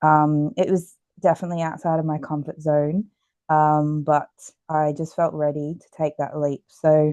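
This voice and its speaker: A dark, mellow voice with an Australian accent speaks at a moderate pace in a flat monotone, its loudness swinging widely, in a dry, close recording with no echo and a quiet background. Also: woman, very deep, low pitch for a woman. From Australia, Queensland Gold Coast. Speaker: exercise physiologist and author. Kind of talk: podcast interview. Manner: many fillers (um, uh).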